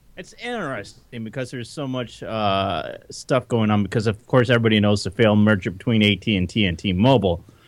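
A man with an ordinary speaking voice talks at a fairly low pitch, with ordinary pitch variation and hardly any pauses. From Detroit. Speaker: podcast guest. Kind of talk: casual chat. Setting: remote call from home.

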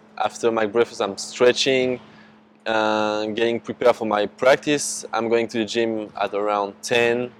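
Over noticeable background noise, a man with a medium pitch speaks at a fairly slow pace with fairly even intonation. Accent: French. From France. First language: French. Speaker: basketball prospect. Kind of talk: casual interview. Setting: in person.

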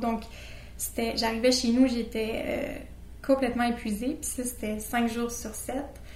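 A woman speaks at a moderate pace in a monotone, flat intonation. Audible room echo and noticeable background noise fill the recording. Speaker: interview guest sharing anxiety experience. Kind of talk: personal testimony. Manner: halting.

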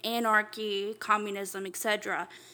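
A bright, sharp tone carries speech delivered at a very slow pace. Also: woman. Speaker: podcast co-host. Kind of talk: casual chat.

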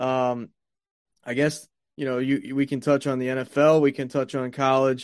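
Here a man talks at a moderate pace with a medium pitch. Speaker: sports podcast host. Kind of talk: solo sports talk monologue. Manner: casual, many filler words.

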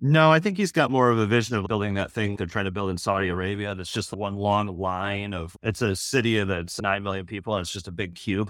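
Fairly low in pitch, a man with an American accent talks fairly quickly in a normal speaking voice, with ordinary pitch variation and hardly any pauses. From Michigan. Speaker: podcaster, PR professional. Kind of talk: casual chat.

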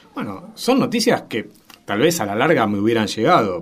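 With a Rioplatense accent, a man speaks at a medium pitch. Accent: Argentine Spanish (rioplatense). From Argentina, Santa Fe. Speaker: media researcher and university professor. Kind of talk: radio interview. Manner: hesitant, frequent fillers.

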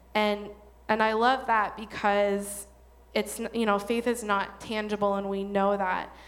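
Delivered at a fairly slow pace, the monotone, flat intonation carries through audible room echo. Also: woman, medium pitch for a woman. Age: 30s. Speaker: church women's ministry speaker. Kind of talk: church talk to an audience. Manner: casual, informal.

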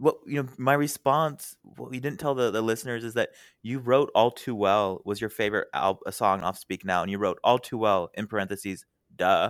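A man talks at a moderate pace with medium pitch and ordinary pitch variation, an unremarkable speaking voice. The recording is very clean with a silent background, dry and close with no echo. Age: 20s. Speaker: podcast guest. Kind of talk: casual chat.

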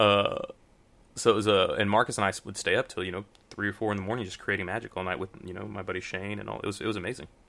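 With an American accent, a man rattles off words at a very fast pace in a fairly low voice with vocal fry and a bright, sharp tone, his intonation monotone and flat while his loudness swings widely. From Houston, Texas. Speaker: magician guest. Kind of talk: casual interview, storytelling. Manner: relaxed, rambling, filler words.

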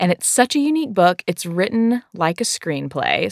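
A woman with a Southern US accent talks at a fairly quick pace, the sound dry and close with no echo on a very clean recording with a silent background. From US South. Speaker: church worker and co-author of prayer book. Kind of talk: casual conversation.

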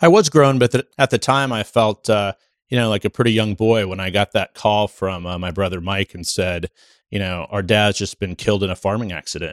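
A man with a Midwestern American accent, fairly low in pitch, talking at a fairly quick pace with ordinary pitch variation. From US Midwest, Nebraska. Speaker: political journalist. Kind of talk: casual interview conversation. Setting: on location in New Hampshire on primary day. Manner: halting, many filler words.

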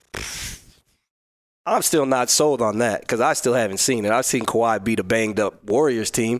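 A man with an American accent talks in an unremarkable speaking voice at a medium pitch, a moderate pace and with fairly even intonation. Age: 30s. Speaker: professional basketball player. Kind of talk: casual chat.

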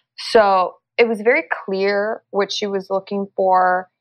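Music runs behind this clip. The woman speaking has a medium pitch. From Los Angeles, US. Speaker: actress. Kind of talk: interview. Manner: halting.

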